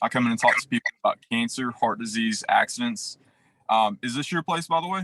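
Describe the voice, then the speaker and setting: With a bright, sharp tone and very wide pitch swings, a man speaks fairly quickly in a fairly high voice. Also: dry, close sound with no echo. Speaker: insurance sales trainer. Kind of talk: sales pitch role-play. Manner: fast.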